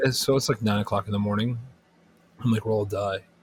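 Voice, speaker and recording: A somewhat breathy male voice at medium pitch, monotone and flat. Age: 30s. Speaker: podcast co-host. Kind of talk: casual chat.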